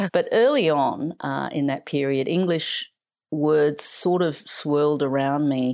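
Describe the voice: A woman speaks slowly with a slightly mellow tone and a low pitch. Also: ordinary pitch variation.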